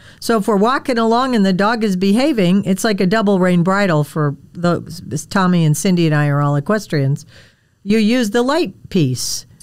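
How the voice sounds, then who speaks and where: With a normal speaking voice, a woman talks at a moderate pace and medium pitch, using lively intonation and very even loudness on a very clean recording with a silent background. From Wisconsin, US Midwest. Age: 60s. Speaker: podcast host, dog trainer. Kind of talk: casual interview chat.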